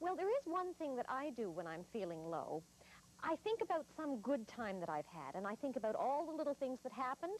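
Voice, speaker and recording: Over light background noise, a woman talks at a fairly quick pace in a high voice with very wide pitch swings, the sound dry with no echo. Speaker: children's show host. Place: studio.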